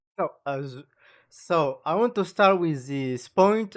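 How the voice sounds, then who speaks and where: In a French accent, the speaker goes at a very slow pace on a very clean recording with a silent background. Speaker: gaming youtuber. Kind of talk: video reaction commentary. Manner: halting, many fillers.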